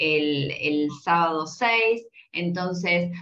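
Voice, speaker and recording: A woman with lively intonation. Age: 40s. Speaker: podcast host. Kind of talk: casual chat.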